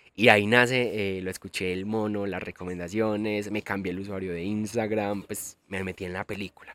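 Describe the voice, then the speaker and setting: In a very clean recording with a silent background and a dry, close sound with no echo, a man speaks at a moderate pace with hardly any pauses and big swings in loudness. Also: fairly low pitch for a man. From Colombia, Antioquia (El Carmen de Viboral). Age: 20s. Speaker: podcast host, travel influencer. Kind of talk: casual monologue. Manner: animated.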